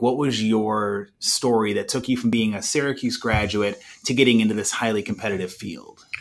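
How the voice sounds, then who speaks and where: A man with a normal speaking voice, medium pitch and moderate pace, on a very clean recording with a silent background. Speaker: podcast host and university alumni staffer. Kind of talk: interview questions.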